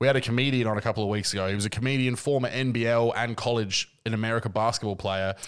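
A man's medium-pitched voice with an Australian accent, very fast with hardly any pauses and fairly even intonation, on a very clean recording with a silent background. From Adelaide, Australia. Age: 30s. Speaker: podcast host. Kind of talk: casual chat.

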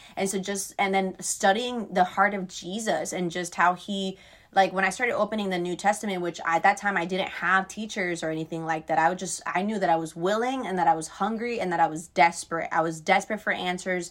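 A woman with an American accent speaks at a fairly quick pace, with hardly any pauses. Her voice is medium-pitched with fairly even intonation, an ordinary speaking voice. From Florida. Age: 20s. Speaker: youth ministry worker. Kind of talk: testimony. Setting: video call.

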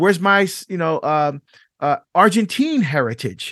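Here a man speaks at a high pitch with very wide pitch swings. The sound is dry and close with no echo, over a quiet background. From Barbados. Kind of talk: interview. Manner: passionate.

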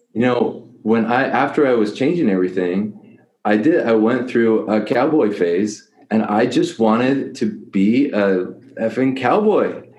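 Audible room echo surrounds the speaker. The pace is fairly slow. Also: man, medium pitch for a man, ordinary pitch variation. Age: 30s. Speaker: life coach for men. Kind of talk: casual interview.

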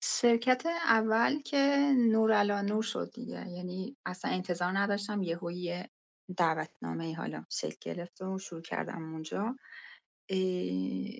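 A woman speaks with an Azerbaijani accent. Her pace is fairly slow. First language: Azerbaijani (speaking Persian). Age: 30s. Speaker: UI/UX and mobile game designer. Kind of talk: casual interview. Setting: online call from laptop. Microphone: connection dropouts.

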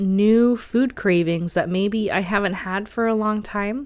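On a very clean recording with a silent background, a woman speaks at a very slow pace with ordinary pitch variation. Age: 30s. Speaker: tarot and spirituality podcast host. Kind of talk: solo podcast monologue.

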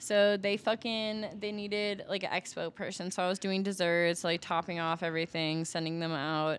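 A woman with an ordinary speaking voice and an American accent, medium in pitch, fairly even in intonation, at a moderate pace, on a very clean recording with a silent background. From US Midwest (Milwaukee, Wisconsin). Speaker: adult performer and rapper. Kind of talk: casual chat.

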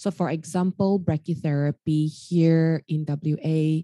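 A woman's very deep, low voice with a dark, mellow tone, dry and close with no echo. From Australia, Sydney. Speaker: radiation oncologist. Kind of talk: casual interview.

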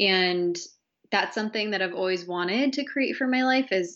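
Using ordinary pitch variation, a woman speaks at a medium pitch and moderate pace. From Massachusetts, small town. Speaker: entrepreneur and coach, former student affairs professional. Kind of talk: casual interview chat.

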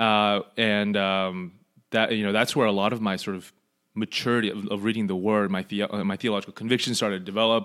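Against a very clean recording with a silent background, a man with an American accent talks at a fairly quick pace in a monotone, flat intonation. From Los Angeles, Southern California. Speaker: podcast co-host and seminary student. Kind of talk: casual chat; lecture.

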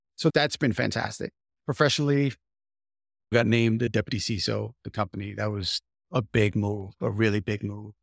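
This man's pitch moves in an ordinary way. He keeps up a fairly quick pace. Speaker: podcast host. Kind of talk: casual chat.

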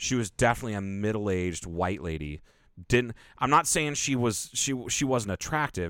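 A man with a fairly low pitch speaks at a moderate pace in an animated tone with lively intonation. The recording is very clean, with a silent background. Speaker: podcast co-host. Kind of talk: casual chat.

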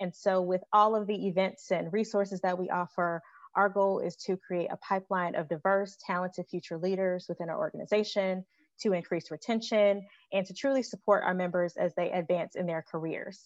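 In an American accent, an ordinary speaking voice carries fairly even intonation, with a dry, close sound with no echo over a quiet background. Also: woman, medium pitch for a woman, fairly quick pace. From Chicago. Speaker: healthcare administrator. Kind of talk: podcast panel discussion.

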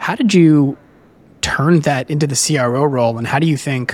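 A man at medium pitch and moderate pace, a plain, everyday voice. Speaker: podcast host. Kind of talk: interview conversation.

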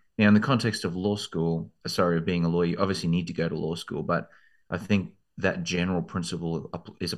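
Against a quiet background, a man with an Australian accent speaks at a fairly quick pace. His very deep, low pitch shows ordinary variation. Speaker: law school admissions consultant. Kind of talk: interview.

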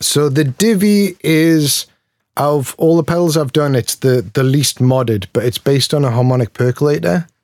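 With a Geordie accent, a man speaks at a moderate pace in a fairly high pitch, using lively intonation and very even loudness, in a dry, close sound with no echo. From Newcastle, northeast England. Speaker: pedal maker. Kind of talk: casual interview chat.

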